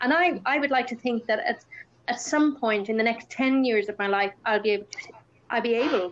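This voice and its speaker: Her pitch fairly high, a woman talks at a fairly quick pace with ordinary pitch variation. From Ireland. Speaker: campaigner and speaker on Usher syndrome. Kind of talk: casual chat.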